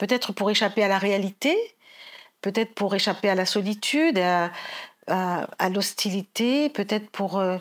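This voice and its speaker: A woman at a medium pitch, fairly slow pace and very even loudness, with ordinary pitch variation and long, frequent pauses, in a very clean recording with a silent background. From Paris region, France (Guadeloupean family). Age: 60s. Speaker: novelist. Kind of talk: literary talk. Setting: library event with audience. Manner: halting.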